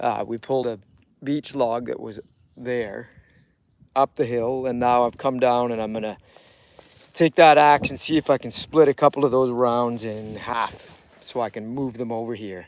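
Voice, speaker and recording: The intonation stays fairly even at a moderate pace. Loudness swings widely. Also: man, medium pitch for a man. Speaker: outdoor vlogger. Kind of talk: live stream commentary. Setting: outdoors. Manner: loud, yelling.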